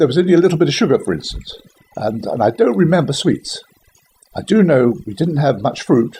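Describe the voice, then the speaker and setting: This man has a southern English accent and moves at a fairly quick pace. His pitch swings very widely. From West London, England. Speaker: Second World War childhood witness. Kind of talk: interview answer. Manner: casual, conversational.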